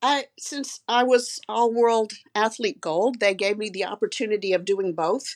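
Fairly slow speech from a woman with hardly any pauses, a plain, everyday voice, fairly high pitch, and ordinary pitch variation. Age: 60s. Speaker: physician and amateur triathlete. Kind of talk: casual interview.

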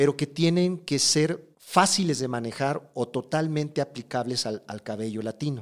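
In a normal speaking voice, a man with a fairly high pitch talks with lively intonation. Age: 40s. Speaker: hairdresser and educator. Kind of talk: interview.

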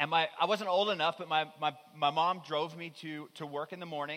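Talking at a fairly quick pace, a man with a high-pitched voice has a bright, sharp tone. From Newfoundland, Canada. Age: 30s. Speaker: pastor. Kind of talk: sermon.

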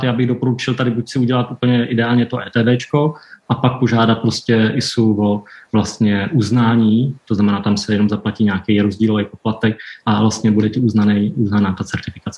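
A man with a plain, everyday voice speaks at medium pitch and a moderate pace, keeping a fairly even intonation. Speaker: nonprofit chairman and interviewer. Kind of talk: interview.

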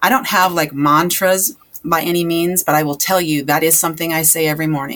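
Using an ordinary speaking voice, a woman talks at a fairly quick pace in a fairly low pitch with fairly even intonation. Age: 40s. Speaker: health and transformation coach. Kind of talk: casual chat.

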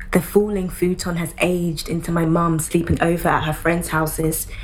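Amid audible room echo and noticeable background noise, a woman with a fairly low pitch talks at a moderate pace in a monotone, flat intonation. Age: 20s. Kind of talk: spoken word poetry performance.

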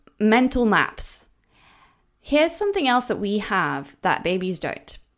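A woman speaks with a Norwegian accent. The recording is very clean, with a silent background. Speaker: language coach. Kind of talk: educational podcast lecture.

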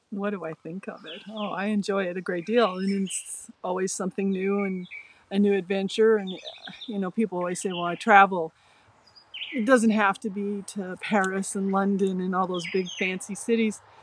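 Noticeable background noise sits behind a woman speaking in a flat monotone. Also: medium pitch for a woman, moderate pace. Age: 60s. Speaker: podcast co-host. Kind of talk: casual chat.

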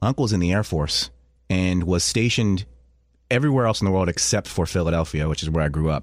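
A man with a very deep, low pitch talks at a very fast pace with very even loudness, in a very clean recording with a silent background. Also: lively intonation. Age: 40s. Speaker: radio host. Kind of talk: casual chat.

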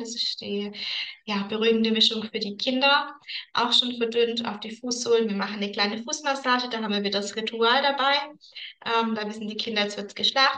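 The woman has a plain, everyday voice with a fairly high pitch. She talks fairly quickly with fairly even intonation. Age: 30s. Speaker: aromatherapy consultant. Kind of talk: casual interview chat.

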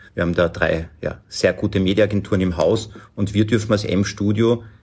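Recorded very cleanly against a silent background, a man talks at a moderate pace in a somewhat breathy voice with monotone, flat intonation. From Lower Austria. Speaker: agency managing director. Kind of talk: interview.

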